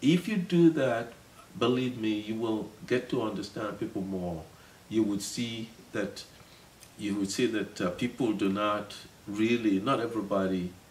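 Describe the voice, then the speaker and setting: A man with a Nigerian accent speaks at a fairly slow pace, his fairly low pitch showing ordinary pitch variation. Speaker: city councilman. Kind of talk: interview. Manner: halting, many repetitions.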